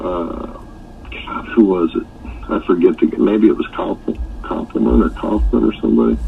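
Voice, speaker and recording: The voice moves at a fairly slow pace. Noticeable background noise runs underneath. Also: man. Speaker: rock singer, real estate developer. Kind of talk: interview answer.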